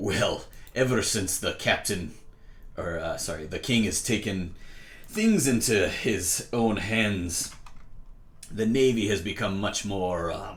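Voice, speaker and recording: A man in a put-on character voice, fairly low pitch, fairly slow pace, long, frequent pauses. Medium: actual play. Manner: hearty, roguish, dotted with "aye" and "lassie".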